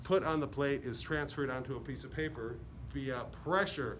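The speaker is a man with an American accent. Faint music plays in the background. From Chicago area. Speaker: painter and printmaker. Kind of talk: tutorial. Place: hall. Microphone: phone near.

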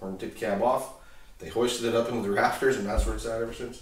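A man's fairly even intonation carries audible room echo. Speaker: owner of the tractor cab. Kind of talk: interview answer. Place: garage.

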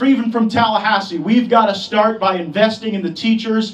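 A man speaks at a fairly quick pace. His intonation stays fairly even. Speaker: politician giving endorsement. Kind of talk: campaign speech. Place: hall.

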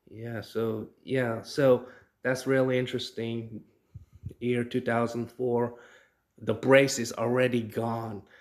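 A man's medium-pitched voice at a very slow pace, monotone and flat, broken by long, frequent pauses. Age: 40s. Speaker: YouTuber. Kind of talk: casual vlog monologue.

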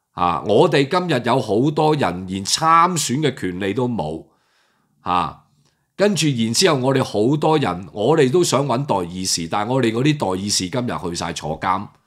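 Over a quiet background, a man with a medium pitch talks at a moderate pace in an animated tone, his pitch swinging very widely. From Hong Kong. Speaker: political commentator. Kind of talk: political commentary monologue. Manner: halting with many fillers. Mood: indignant, critical. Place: home room. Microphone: webcam.

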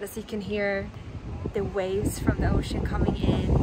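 A woman at a moderate pace over loud background noise, with a dry sound and no echo. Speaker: vlogger. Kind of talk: casual vlog chat. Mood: relaxed, happy, then reflective. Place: waterside. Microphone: phone near.

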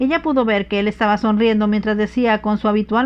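Fairly even intonation accompanies reading aloud in a natural voice.

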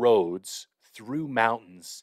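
A man speaks with lively intonation. The background is quiet and the sound dry with no echo. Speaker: podcast host. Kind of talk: webinar talk. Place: home room. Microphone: studio mic.

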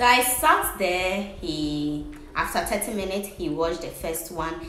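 A woman with lively intonation speaks at a fairly slow pace over light background noise, with audible room echo. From Ghana. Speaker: vlogger. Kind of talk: casual talk to camera. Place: home room. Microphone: phone near.

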